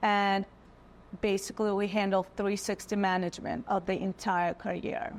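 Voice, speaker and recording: A woman with a Russian accent at a moderate pace. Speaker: modeling agency owner. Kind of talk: casual interview chat.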